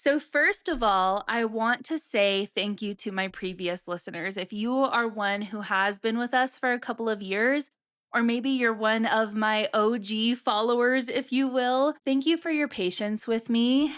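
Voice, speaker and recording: Speaking at a fairly slow pace with hardly any pauses, a woman uses an animated tone and ordinary pitch variation at a fairly high pitch, in a very clean recording with a silent background. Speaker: podcast host and marketing business founder. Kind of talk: solo podcast monologue.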